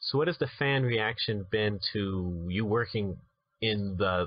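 A man with a plain, everyday voice talks at a fairly low pitch with ordinary pitch variation. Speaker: podcast host. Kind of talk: interview.

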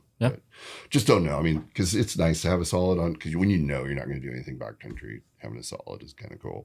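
A man's very deep, low voice with vocal fry and an American accent, very fast pace and big swings in loudness, on a very clean recording with a silent background. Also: lively intonation. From US Pacific Northwest, Vancouver, Washington. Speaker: splitboarder and avalanche instructor. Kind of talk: casual interview. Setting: studio.

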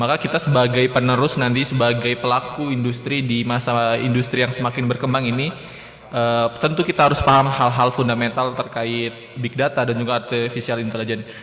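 A man delivers his words at a fairly quick pace and medium pitch with monotone, flat intonation. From Indonesia. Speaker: pharmacy student moderator. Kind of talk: formal event hosting. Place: studio. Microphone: studio mic.

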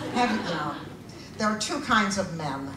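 Noticeable background noise and room echo surround a woman talking at a moderate pace. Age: 80s+. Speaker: comedian. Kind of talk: stand-up. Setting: stage with audience. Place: stage.

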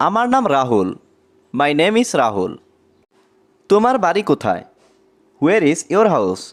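A man's high-pitched voice with very wide pitch swings and very even loudness. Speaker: English language teacher. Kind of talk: tutorial.

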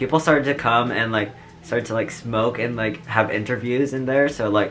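A man at a fairly quick pace, fairly even intonation, faint music in the background. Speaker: vlogger. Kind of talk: casual vlog chat. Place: home room. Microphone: earbuds.

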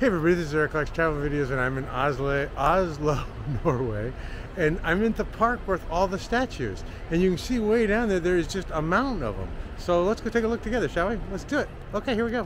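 A man talks at a very fast pace, the sound dry with no echo but with noticeable background noise. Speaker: travel vlogger. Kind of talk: casual vlog chat. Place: open country. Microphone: phone near.

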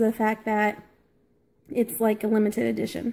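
A woman's somewhat breathy voice. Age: 30s. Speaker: gaming YouTuber. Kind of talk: unboxing video. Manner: casual, hesitant with fillers. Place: kitchen. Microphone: phone near.

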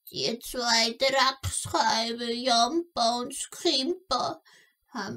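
A woman puts on a character voice at a high pitch. She speaks at a very slow pace. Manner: storytelling, indignant.

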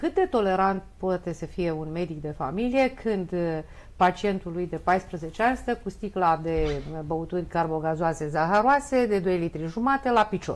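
Her intonation is lively. This woman talks at a fairly slow pace in a fairly low pitch. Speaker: family doctor. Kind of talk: live TV studio debate. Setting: TV studio. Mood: concerned, argumentative. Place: studio. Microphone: lapel.

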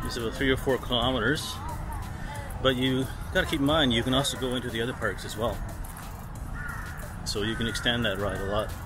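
With clear music in the background, a man talks very fast in fairly even intonation, the sound dry with no echo. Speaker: travel vlogger. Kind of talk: casual vlog chat. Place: garden. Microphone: phone near.

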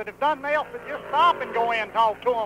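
Against noticeable background noise, a man with a Southern US accent speaks at an extremely high pitch with ordinary pitch variation. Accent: Southern drawl. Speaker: race car driver. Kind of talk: interview answer. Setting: racetrack. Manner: humorous.

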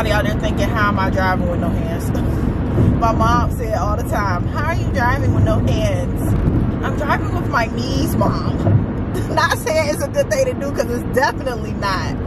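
Under loud background noise, a woman talks at a moderate pace in a dry sound with no echo. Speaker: vlogger. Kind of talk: casual vlog chat. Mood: cheerful, laughing. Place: car. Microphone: camera far.

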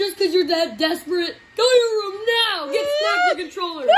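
This put-on character voice has an extremely high pitch and moves at a fairly quick pace.

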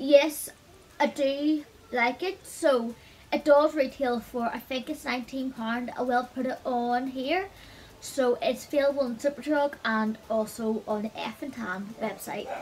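Light background noise sits behind a woman speaking at a high pitch. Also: ordinary pitch variation, fairly slow pace. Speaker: beauty vlogger. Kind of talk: product review chat. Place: home room. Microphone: phone near.

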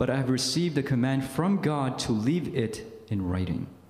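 Moderate pace with audible room echo. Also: man. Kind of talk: retreat talk, reading aloud. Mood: solemn, grave. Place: meeting room. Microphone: podium.

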